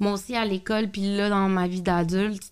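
Recorded very cleanly against a silent background, a woman speaks at a medium pitch in a flat, monotone way. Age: 30s. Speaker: podcast host. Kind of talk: casual chat.

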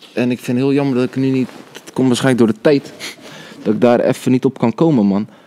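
A man at medium pitch and a very fast pace, with fairly even intonation, in a dry, close sound with no echo, amid noticeable background noise. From Netherlands, Rotterdam. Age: 20s. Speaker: cameraman and video editor. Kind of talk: casual chat.

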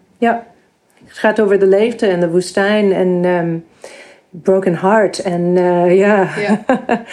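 Speaking at a very slow pace, a woman with an English accent uses a medium-pitched voice and fairly even intonation. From US, New York. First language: English (speaking Dutch). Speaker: composer. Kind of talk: interview. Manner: halting, many fillers.

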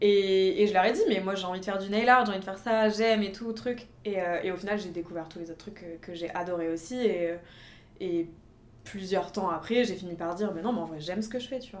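This woman has a plain, everyday voice, talking at a fairly quick pace at a medium pitch with ordinary pitch variation and big swings in loudness. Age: 20s. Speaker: nail artist. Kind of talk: casual chat.

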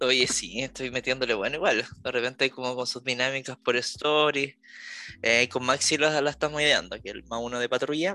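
Against a quiet background, a man with a Chilean accent speaks at a medium pitch in a bright, sharp tone. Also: ordinary pitch variation, moderate pace. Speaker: podcast co-host. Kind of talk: casual chat.

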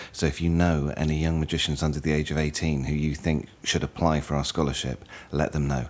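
At a moderate pace, a man with a British accent speaks in a very deep, low pitch. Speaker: podcast host. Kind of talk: podcast intro.

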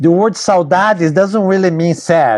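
A man with a Brazilian accent and a high pitch talks at a fairly slow pace, his intonation lively. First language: Portuguese. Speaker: bassoon professor and musician. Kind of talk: casual interview. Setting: video call.

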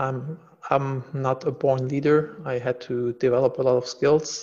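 A man speaks with a German accent. His intonation is fairly even. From Germany. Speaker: entrepreneur and executive coach. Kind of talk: interview.

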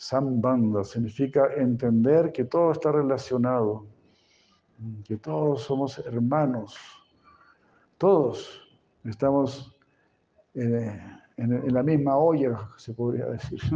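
Speaking at a very slow pace with long, frequent pauses, a man uses ordinary pitch variation. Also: medium pitch for a man. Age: 70s. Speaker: spiritual teacher. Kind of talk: lecture. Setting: stage with audience.

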